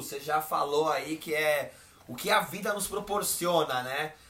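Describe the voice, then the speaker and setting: A man's voice against noticeable background noise. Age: 30s. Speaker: podcast co-host.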